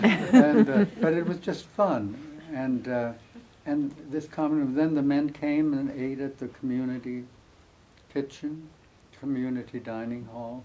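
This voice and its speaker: A man with an American accent, fairly high in pitch with a dark, mellow tone, at a fairly slow pace with long, frequent pauses. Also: ordinary pitch variation. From US Midwest, Amana Colonies, Iowa. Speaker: author. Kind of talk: interview before a live audience.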